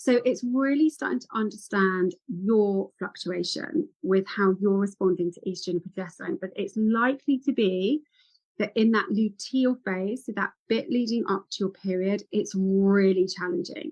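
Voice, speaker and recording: A woman speaks in an animated, somewhat breathy tone with hardly any pauses. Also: medium pitch for a woman, lively intonation. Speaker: women's health and ADHD specialist. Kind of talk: podcast interview. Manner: fast.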